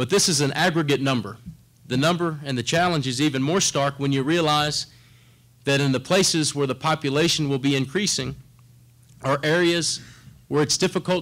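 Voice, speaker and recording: A man talks in a fairly high voice with ordinary pitch variation. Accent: South Texas. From South Texas. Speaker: corporate government relations director. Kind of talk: conference presentation.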